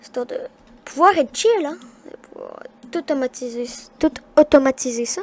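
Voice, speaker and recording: A high-pitched woman at a moderate pace, with long, frequent pauses, very wide pitch swings and big swings in loudness, in a dry, close sound with no echo and noticeable background noise. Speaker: gaming youtuber. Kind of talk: gameplay commentary. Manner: halting.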